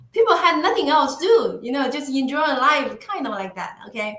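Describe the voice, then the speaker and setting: In a raised, projected voice, a woman speaks with a Chinese accent and a bright, sharp tone. Audible room echo surrounds her. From northeastern China. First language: Mandarin Chinese. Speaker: podcast guest. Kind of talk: interview conversation. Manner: halting.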